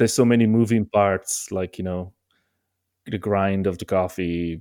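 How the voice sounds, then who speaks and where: A man's very deep, low-pitched voice with an Italian accent and fairly even intonation. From Italy. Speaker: multi-instrumentalist musician. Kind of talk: casual interview chat. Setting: remote call.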